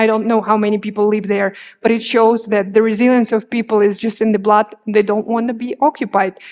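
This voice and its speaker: A woman with an Eastern European accent speaks in a monotone, flat intonation. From Crimea, Ukraine. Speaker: journalist. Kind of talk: public talk with slides. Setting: stage with audience.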